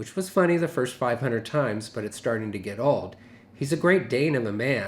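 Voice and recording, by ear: The speaker reads aloud in a natural voice, and the intonation is lively.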